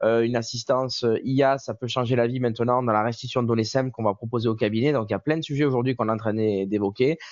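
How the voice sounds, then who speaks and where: This man talks at a very fast pace, with a medium pitch and fairly even intonation. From southern France, Marseille. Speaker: software company representative. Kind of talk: webinar presentation.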